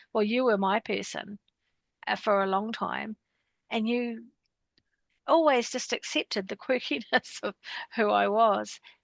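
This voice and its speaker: Against a quiet background with a dry, close sound and no echo, a woman speaks at a moderate pace and a fairly high pitch with ordinary pitch variation. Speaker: transformational coach. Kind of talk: casual chat. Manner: loud, bouncy.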